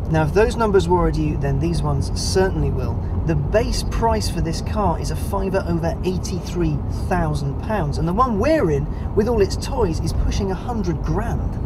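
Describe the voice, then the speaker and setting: Loud background noise fills the clip. A man talks at a moderate pace with hardly any pauses. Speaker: car reviewer. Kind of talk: car review presenting. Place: car.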